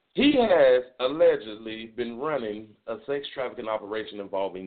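With an American accent, a man talks at a moderate pace in lively intonation and an ordinary speaking voice. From South Florida (Miami-Dade County). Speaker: internet radio talk show host. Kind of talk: casual solo talk show monologue. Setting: internet radio broadcast, also streamed on video.

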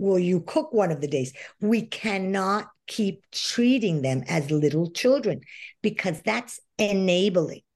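Against a quiet background, a woman at medium pitch speaks at a fairly slow pace, her pitch swinging very widely. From Venezuela. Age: 60s. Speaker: life coach. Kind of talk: interview.

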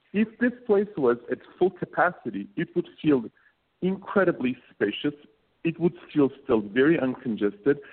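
A man with a Turkish accent speaks at a moderate pace, his fairly high pitch swinging very widely. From Turkey. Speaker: co-working space founder. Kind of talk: radio interview. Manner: halting.

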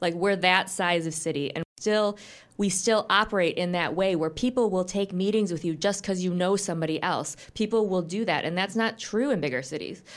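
A woman with an American accent has a normal speaking voice at medium pitch. She talks at a fairly quick pace with ordinary pitch variation and hardly any pauses. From US Midwest, Grand Rapids, Michigan. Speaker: business executive. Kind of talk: radio interview. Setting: studio.

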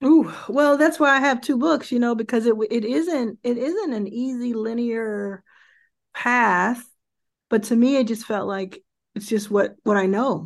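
Against a quiet background, a woman with an American accent uses a normal speaking voice, fairly high in pitch, at a fairly slow pace with ordinary pitch variation. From Dallas, Texas. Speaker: venture investor and founder. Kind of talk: interview.

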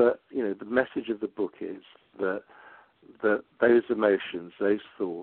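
At a moderate pace, a man talks in an English accent. His fairly low pitch has ordinary variation. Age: 60s. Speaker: psychotherapist and meditation teacher. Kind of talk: interview. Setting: phone call.

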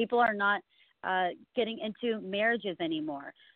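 Speaking in a normal speaking voice, a woman with an American accent talks at a medium pitch and a fairly quick pace. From California. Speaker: congressional candidate. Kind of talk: phone interview. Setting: phone call.

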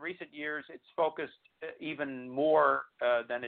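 The man's pitch is fairly high. He speaks at a moderate pace. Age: 50s. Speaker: history professor and disease advocate. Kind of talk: interview. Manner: halting, many repeated words.

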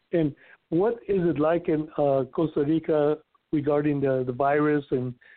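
Here is a man with an American accent and an unremarkable speaking voice. His pitch is fairly high, his intonation fairly even, and his pace moderate. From Inland Empire, California. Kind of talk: casual podcast chat.

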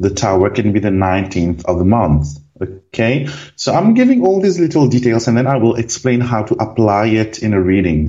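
This man's voice is fairly low in pitch. He keeps a moderate speed. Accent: French. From Réunion Island. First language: French. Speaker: card reader. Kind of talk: casual interview. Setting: phone call.

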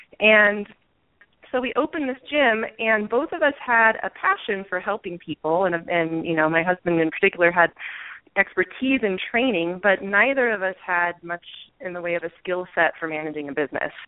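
A woman with a plain, everyday voice talks at a medium pitch and a moderate pace with lively intonation. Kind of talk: casual interview.

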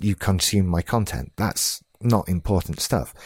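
The recording is very clean, with a silent background. A man with a British accent speaks fairly slowly at a fairly low pitch, with ordinary pitch variation. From UK. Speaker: podcast host. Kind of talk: solo podcast monologue.

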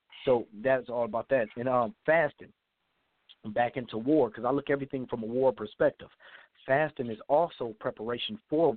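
A man's medium-pitched, ordinary speaking voice at a moderate pace. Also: ordinary pitch variation. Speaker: caller. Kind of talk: casual call-in comments. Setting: phone call.

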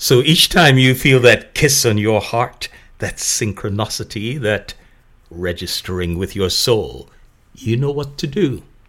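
Here is a man with a plain, everyday voice at a medium pitch. He talks at a fairly slow pace with lively intonation, and the recording is very clean with a silent background. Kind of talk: scripted narration. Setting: cultural center event. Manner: formal.

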